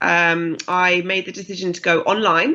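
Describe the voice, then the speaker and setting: A woman with a British accent and a medium pitch. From UK. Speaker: fitness business founder. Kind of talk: interview.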